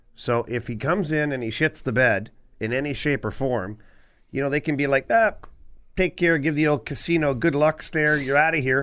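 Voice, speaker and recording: Recorded very cleanly against a silent background, a man with a normal speaking voice talks at a moderate pace in a fairly high pitch with ordinary pitch variation. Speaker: former NHL defenseman, podcast co-host. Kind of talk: casual sports chat.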